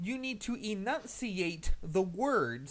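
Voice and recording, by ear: Natural reading aloud with lively intonation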